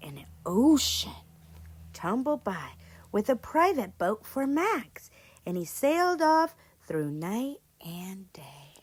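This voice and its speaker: A woman's fairly high, warm voice with very wide pitch swings, big swings in loudness, a fairly slow pace and long, frequent pauses. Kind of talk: children's read-aloud storytelling. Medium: read story. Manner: warm, expressive, encouraging.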